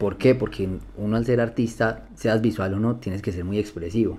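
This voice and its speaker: A fairly low-pitched man's voice, dark and mellow, with fairly even intonation. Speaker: blind music producer. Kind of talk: interview conversation.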